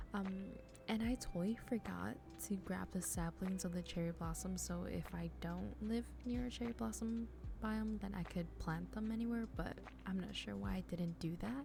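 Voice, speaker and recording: A woman talks at a moderate speed. Background music can be heard. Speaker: gaming youtuber. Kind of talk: gameplay commentary. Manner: hesitant, many fillers.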